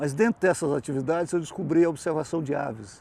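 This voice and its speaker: His voice has a dark, mellow tone, and the speaker is a man. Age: 70s. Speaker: bird photographer, retiree. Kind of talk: interview.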